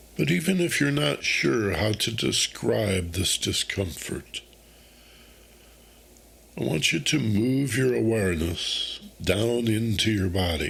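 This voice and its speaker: A man's calm, soothing voice, fairly low in pitch, at a very slow pace with lively intonation, long, frequent pauses, very even loudness and noticeable background noise. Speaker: meditation guide, host. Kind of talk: guided meditation. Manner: calm, slow, soothing.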